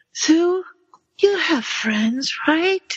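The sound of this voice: A put-on character voice, squeaky and extremely high in pitch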